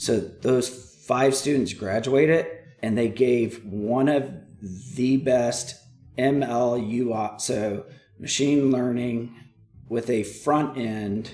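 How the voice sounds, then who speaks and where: Over music in the background and with audible room echo, a man with an American accent talks at a very slow pace and medium pitch, his intonation fairly even and broken by long, frequent pauses. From Texas (Houston/Dallas). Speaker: analytics director and former instructor. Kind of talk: casual chat. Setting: studio.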